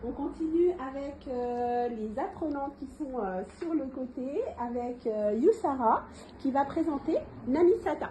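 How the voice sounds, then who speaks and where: A woman with a high pitch speaks at a very slow pace with lively intonation. Noticeable background noise is present. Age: 40s. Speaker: trainer in Montessori Arabic teaching. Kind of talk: in-person training session. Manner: hesitant, many fillers.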